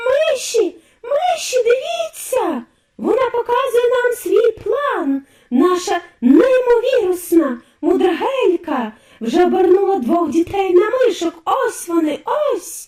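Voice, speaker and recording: This put-on character voice is shrill and extremely high-pitched, delivered at a fairly slow pace. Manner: shrieking, shrill.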